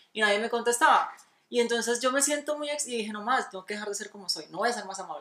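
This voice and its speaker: The woman's voice shows ordinary pitch variation. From Colombia, Antioquia (paisa family, small city). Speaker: podcast co-host. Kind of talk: casual chat. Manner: animated.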